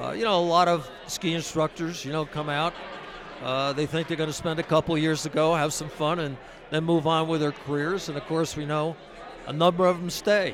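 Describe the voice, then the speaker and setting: Delivered at a fairly quick pace in a monotone, flat intonation, the speech has noticeable background noise behind it. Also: man, fairly high pitch for a man. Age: 70s. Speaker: ski academy benefactor. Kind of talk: interview. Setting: mobile studio at a ski resort. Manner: halting.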